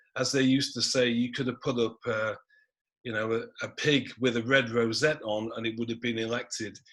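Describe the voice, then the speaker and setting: Here a man with a Manchester accent talks at medium pitch and a moderate pace. His intonation stays monotone and flat. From northern England, Manchester (Gorton). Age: 60s. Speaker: historian. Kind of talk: panel talk.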